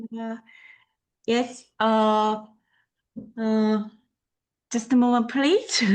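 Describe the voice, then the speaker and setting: Very slowly and with long, frequent pauses, a woman with a Korean accent speaks at a fairly high pitch in a monotone, flat intonation. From South Korea. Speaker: equine therapy worker. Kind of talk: self-introduction. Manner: halting.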